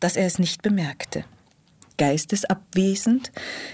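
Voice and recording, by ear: The text is read out in a natural voice.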